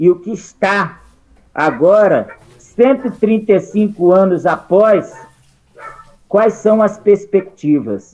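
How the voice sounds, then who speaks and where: Dark and mellow in tone, the voice unfolds very slowly. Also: man. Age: 60s. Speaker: participant in a political discussion group. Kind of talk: group discussion comment.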